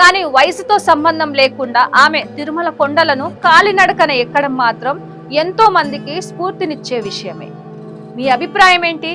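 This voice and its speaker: Over music in the background, a woman speaks in a raised, projected voice at a high pitch. Her intonation is lively, with big swings in loudness. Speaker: news presenter. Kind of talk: news story narration.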